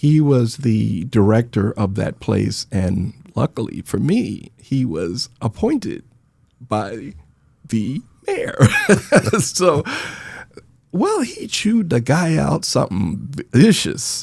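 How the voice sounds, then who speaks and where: Soft-spoken and very slow, a man with an American accent talks with long, frequent pauses. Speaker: Vietnam veteran, nonprofit founder. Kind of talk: interview storytelling.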